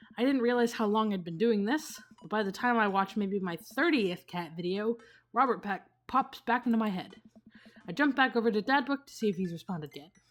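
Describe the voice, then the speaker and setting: Music plays in the background as a woman talks at a fairly quick pace. Her fairly high voice has lively intonation. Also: big swings in loudness. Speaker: gaming streamer. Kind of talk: let's play commentary, reading game text aloud. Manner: fast.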